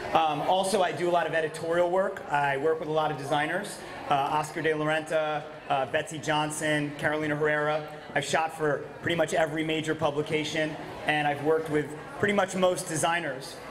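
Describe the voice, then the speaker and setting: A man talks at a fairly quick pace in a flat monotone. Noticeable background noise runs under his voice. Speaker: presenter. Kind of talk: conference talk. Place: hall. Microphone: handheld.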